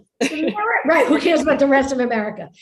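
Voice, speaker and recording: A woman speaks in an animated tone, with audible room echo. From New York, Brooklyn. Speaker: author. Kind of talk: conversational book talk.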